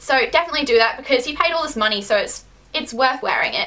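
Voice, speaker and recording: A woman's high-pitched, raised and projected voice at a very fast pace, with noticeable background noise. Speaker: beauty and lifestyle vlogger. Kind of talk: casual vlog advice.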